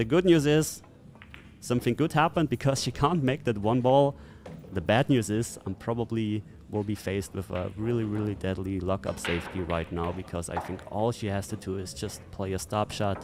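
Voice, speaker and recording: Lively intonation in a non-native accent. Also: man, fairly low pitch for a man, moderate pace. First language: not English. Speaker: pool player and commentator. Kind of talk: match commentary. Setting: live stream. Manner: hesitant, many fillers.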